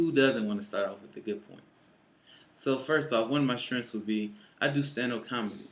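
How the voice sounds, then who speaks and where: Speaking with an American accent at a fairly quick pace, a man uses medium pitch and ordinary pitch variation, his loudness swinging widely amid audible room echo. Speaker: college student. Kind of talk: class speech. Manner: hesitant.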